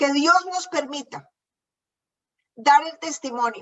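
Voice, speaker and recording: Very slowly, a woman speaks at a high pitch with ordinary pitch variation. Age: 60s. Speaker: preacher. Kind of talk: sermon.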